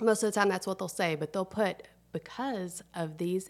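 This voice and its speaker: A woman with a Southern US accent talks at a fairly quick pace. Her pitch is medium, with ordinary variation. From US South, Tennessee. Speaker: food influencer. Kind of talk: casual chat.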